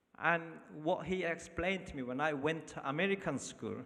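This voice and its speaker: He is a man speaking at a moderate pace. His tone comes across bright and sharp. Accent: Korean. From North Korea. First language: Korean. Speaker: refugee telling his story. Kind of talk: testimony. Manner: halting.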